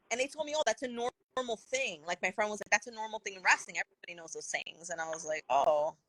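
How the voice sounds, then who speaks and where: A woman with a fairly high pitch rattles along at a very fast pace with hardly any pauses, her bright, sharp tone animated, her pitch swinging very widely and her loudness rising and falling sharply. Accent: New Jersey. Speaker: wrestling podcast guest. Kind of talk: casual chat.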